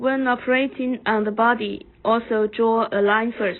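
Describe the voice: A woman at a slow pace with fairly even intonation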